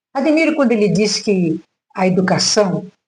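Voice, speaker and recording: A woman talks at a fairly slow pace in a dark, mellow tone. Her voice is somewhat breathy, with very wide pitch swings. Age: 70s. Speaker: retired teacher. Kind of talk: reflective monologue vlog. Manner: halting, with frequent fillers.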